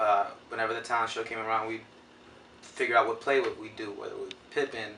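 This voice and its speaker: Fairly quick speech from a man against noticeable background noise. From New York City, East Harlem, Puerto Rican family. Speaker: actor. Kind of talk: interview. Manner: loud.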